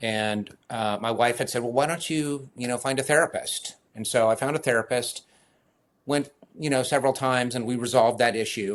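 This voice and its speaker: This man talks at a fairly quick pace. His pitch sits in the medium range. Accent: American. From US West Coast, San Francisco Bay Area. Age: 60s. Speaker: running coach. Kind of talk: podcast interview.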